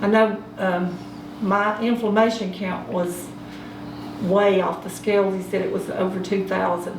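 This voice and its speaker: A woman with an Appalachian accent, medium in pitch, fairly slow and monotone, flat in intonation, against noticeable background noise. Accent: Southern US, Appalachian North Carolina. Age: 60s. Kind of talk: interview answer. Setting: home.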